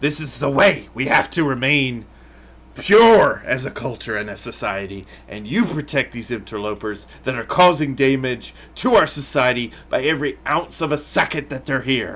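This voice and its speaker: Putting on a character voice at medium pitch, a man speaks at a moderate pace with lively intonation, and hissing can be heard. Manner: hissing, hostile.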